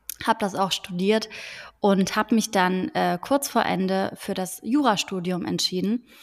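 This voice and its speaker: A woman speaks at a moderate pace in an unremarkable speaking voice, medium in pitch, with fairly even intonation, on a very clean recording with a silent background. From Frankfurt am Main, Germany. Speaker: podcast host, law graduate from media industry. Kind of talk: casual chat.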